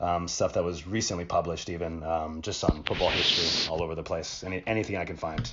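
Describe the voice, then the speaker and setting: Speaking at a very fast pace with hardly any pauses, a man with a Canadian accent uses a very deep, low pitch and fairly even intonation against noticeable background noise. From Canada, born in Uruguay. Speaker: football historian. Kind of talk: podcast interview. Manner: hesitant, many fillers.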